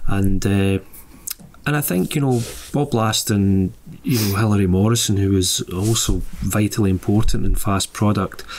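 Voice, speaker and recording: A man with a Scottish accent talks at a fairly low pitch and a very even loudness. Light background noise sits behind him. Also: ordinary pitch variation, moderate pace. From Scotland, Lanarkshire. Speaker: musician and author. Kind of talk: casual chat. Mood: relaxed, reflective. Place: studio. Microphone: studio mic.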